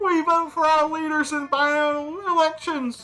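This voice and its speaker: Someone uses a put-on character voice at a moderate pace, with faint music in the background. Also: woman. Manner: proud, formal civic announcement.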